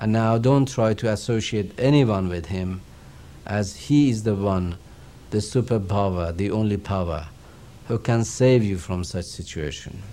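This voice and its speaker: In a Persian accent, a man talks at a fairly low pitch and a fairly slow pace with ordinary pitch variation, and audible room echo surrounds him. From Iran. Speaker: religious teacher. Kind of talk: lecture.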